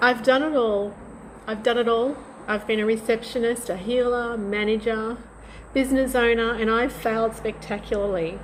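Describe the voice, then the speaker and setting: With an unremarkable speaking voice, a woman talks at a moderate pace in a fairly high pitch. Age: 60s. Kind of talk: personal story told to camera.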